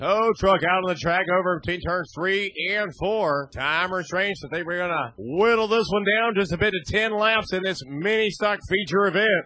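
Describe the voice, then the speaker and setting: In a raised, projected voice with a bright, sharp tone, a man speaks with ordinary pitch variation. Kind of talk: live race commentary.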